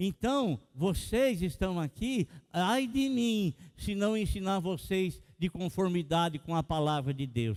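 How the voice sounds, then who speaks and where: A man with a high pitch talks very slowly, his intonation lively. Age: 60s. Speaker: pastor. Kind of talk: sermon.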